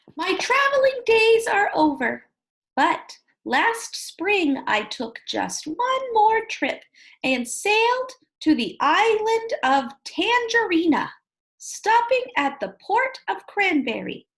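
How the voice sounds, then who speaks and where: A put-on character voice moves at a very slow pace with a gentle tone. Its pitch swings very widely. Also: woman, extremely high pitch for a woman. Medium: read story. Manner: gentle, polite.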